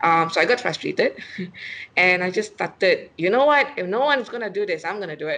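A woman speaks with lively intonation over light background noise. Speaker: remote guest, finance blogger. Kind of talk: interview answer. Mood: friendly, laughing at times. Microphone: video call.

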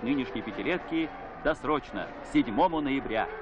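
The speaker keeps a moderate pace with ordinary pitch variation. Music plays in the background. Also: man. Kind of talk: newsreel narration. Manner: solemn, formal.

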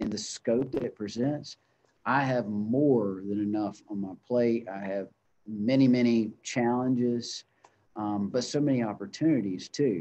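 A man with a Southern US accent, a dark, mellow tone, ordinary pitch variation and a fairly slow pace. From US South (North Carolina). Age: 30s. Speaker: chamber of commerce executive; guest. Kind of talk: interview. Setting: video call. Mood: reflective, earnest. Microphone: video call.

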